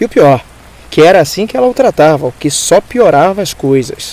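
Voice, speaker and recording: A man with a fairly high voice speaks with very wide pitch swings over noticeable background noise. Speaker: voice actor; narrator. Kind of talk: dramatized audiobook reading.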